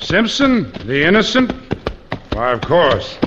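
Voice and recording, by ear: A man's put-on character voice, fairly high and fairly bright in tone, slow-paced with very wide pitch swings.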